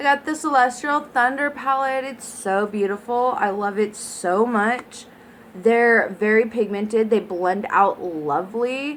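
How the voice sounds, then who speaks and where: Speaking at a fairly slow pace, a woman with an unremarkable speaking voice uses a fairly high pitch and ordinary pitch variation. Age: 20s. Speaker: beauty vlogger. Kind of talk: product review unboxing. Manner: casual, filler words.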